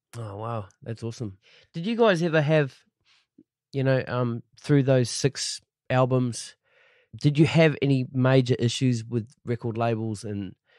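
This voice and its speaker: Heard in a very clean recording with a silent background, a man with a New Zealand accent talks at a fairly slow pace and medium pitch, showing ordinary pitch variation and big swings in loudness. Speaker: podcast host. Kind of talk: casual interview chat; scripted intro.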